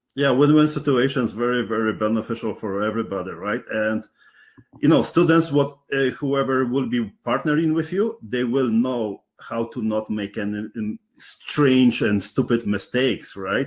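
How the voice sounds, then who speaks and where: With a Polish accent, a man speaks at a moderate pace and medium pitch, using ordinary pitch variation. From Poland. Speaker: interviewer, real estate investor. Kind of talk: interview. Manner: halting.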